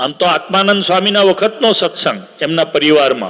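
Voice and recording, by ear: A man with a fairly high pitch talks at a fairly quick pace, his tone bright and sharp and his intonation lively.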